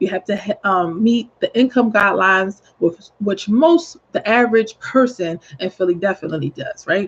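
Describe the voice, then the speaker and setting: A woman's somewhat breathy, medium-pitched voice at a moderate pace, with lively intonation and a dry, close sound with no echo. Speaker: real estate agent. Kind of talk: informal video tip. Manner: hesitant, many fillers.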